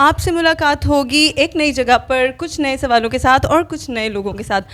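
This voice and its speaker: High pitch from a woman, ordinary in its variation, at a moderate pace. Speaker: street interview host. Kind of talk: interview questions with riddles.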